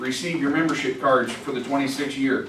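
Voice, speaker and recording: Audible room echo around a man speaking at a fairly high pitch. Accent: American. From US South. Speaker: veterans' organization officer. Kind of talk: business report at a conference.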